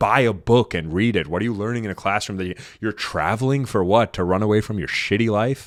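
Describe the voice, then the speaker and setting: With an animated tone, a man at a fairly low pitch speaks with ordinary pitch variation on a very clean recording with a silent background. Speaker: dating and relationship podcast host. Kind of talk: podcast monologue. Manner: fast.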